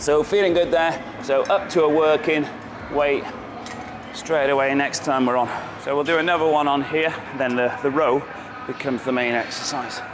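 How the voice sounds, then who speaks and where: A man's fairly high voice in a British accent, with ordinary pitch variation, a moderate pace and long, frequent pauses, amid noticeable background noise. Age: 50s. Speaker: natural bodybuilder. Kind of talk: casual vlog talk to camera.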